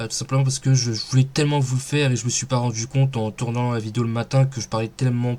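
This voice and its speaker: Somewhat breathy and monotone, a man speaks at a very fast pace with a flat intonation and medium pitch. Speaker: gaming youtuber. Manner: hesitant, many fillers.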